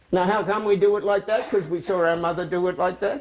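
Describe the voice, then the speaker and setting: High-pitched male speech with an Australian accent at a fairly quick pace, over noticeable background noise. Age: 70s. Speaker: cooking demonstrator. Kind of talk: sales pitch. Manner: animated.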